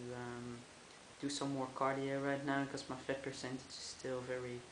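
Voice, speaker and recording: Speaking at a fairly slow pace in a monotone, flat intonation, the man has a fairly high pitch, and audible room echo surrounds him. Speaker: vlogger. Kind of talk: video diary. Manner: halting, many fillers.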